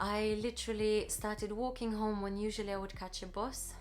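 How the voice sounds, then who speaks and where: A woman with a Russian accent speaks at a moderate pace. Music plays in the background, and room echo is audible. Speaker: vlogger. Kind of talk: personal story, casual vlog. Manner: hesitant, with many fillers.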